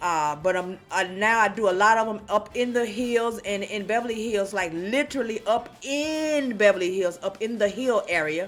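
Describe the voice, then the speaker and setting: Noticeable background noise accompanies a woman who speaks with hardly any pauses. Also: fairly high pitch for a woman, ordinary pitch variation. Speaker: field inspector and YouTuber. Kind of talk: casual vlog talk. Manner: fast.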